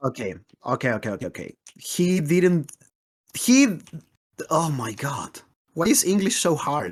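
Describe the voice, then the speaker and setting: Spoken at a fairly slow pace with a non-native accent, the speech has long, frequent pauses. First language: not English. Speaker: Minecraft speedrunner co-host. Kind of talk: casual chat.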